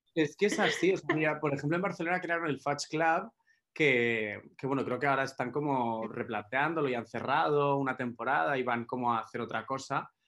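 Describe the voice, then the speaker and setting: On a very clean recording with a silent background, a man speaks in a plain, everyday voice at a fairly high pitch, moderate pace and ordinary pitch variation. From Spain, Málaga (Andalusia). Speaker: nightclub party organizer. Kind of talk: casual chat.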